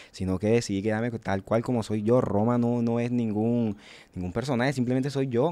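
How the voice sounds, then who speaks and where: At a fairly quick pace, a man talks in a dark, mellow tone. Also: fairly even intonation. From Colombian Caribbean coast, small town. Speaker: rapper; podcast guest. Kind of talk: interview. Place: studio. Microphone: studio mic.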